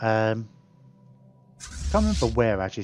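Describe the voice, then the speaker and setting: Over music in the background, a man speaks in a fairly low pitch. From UK. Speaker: gaming streamer. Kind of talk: casual live-stream chat while gaming. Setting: live stream.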